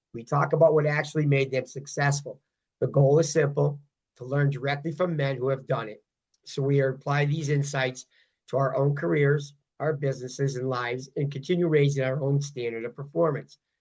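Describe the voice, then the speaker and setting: Against a quiet background, a man with a fairly high, somewhat breathy voice speaks at a fairly quick pace with fairly even intonation. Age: 60s. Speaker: podcast host and fitness coach. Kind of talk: interview.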